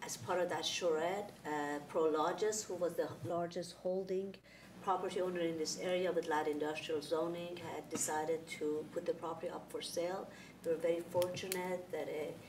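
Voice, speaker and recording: A woman's fairly low, flat, monotone voice at a moderate pace, with noticeable background noise. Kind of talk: meeting presentation. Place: meeting room.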